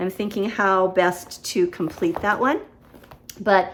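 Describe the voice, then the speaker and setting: Here is a woman with a normal speaking voice at a medium pitch. She talks at a fairly slow pace. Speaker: cross-stitch vlogger. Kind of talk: casual show-and-tell vlog.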